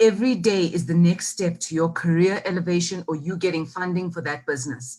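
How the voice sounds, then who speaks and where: A woman's somewhat breathy, dark, mellow voice at a fairly quick pace. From South Africa, KwaZulu-Natal south coast. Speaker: marketing executive. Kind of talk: interview. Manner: animated.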